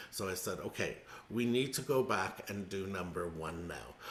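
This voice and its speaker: The voice is quiet, moving at a moderate pace with ordinary pitch variation. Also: man. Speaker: music teacher. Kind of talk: casual chat. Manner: speaking quietly.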